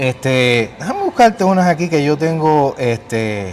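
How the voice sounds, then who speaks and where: With a Puerto Rican accent, a man speaks at a fairly high pitch with very wide pitch swings over noticeable background noise. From Puerto Rico. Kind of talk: casual conversation.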